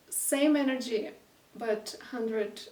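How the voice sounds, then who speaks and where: A woman with a non-native accent and ordinary pitch variation, heard with audible room echo. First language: not English. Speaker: intuitive painter and channeler. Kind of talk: casual spoken energy reading while painting. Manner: halting, many fillers; unhurried, with intentional silences.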